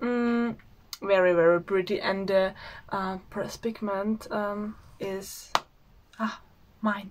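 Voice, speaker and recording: A woman with an Austrian accent speaks at a medium pitch and a very slow pace. Long, frequent pauses break up her speech over noticeable background noise. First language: German. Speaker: beauty vlogger. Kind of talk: product unboxing. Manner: halting, many filler sounds; enthusiastic.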